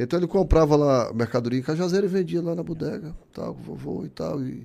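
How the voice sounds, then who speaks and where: The recording is very clean and the background silent. A man with a dark, mellow tone talks at a moderate speed. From Ceará, Brazil (Barro, interior). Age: 60s. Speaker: business owner and trade association leader. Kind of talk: casual interview.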